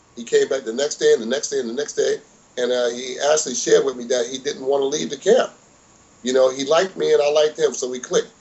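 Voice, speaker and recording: A man talks very fast while noticeable noise sits behind him. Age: 60s. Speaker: boxing trainer. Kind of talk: interview.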